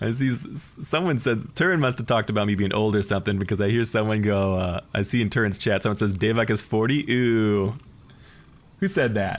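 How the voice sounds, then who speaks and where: In a normal speaking voice, this man talks fairly quickly, pitched fairly low, with ordinary pitch variation. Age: 40s. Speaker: gaming streamer. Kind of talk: live commentary. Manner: casual, conversational.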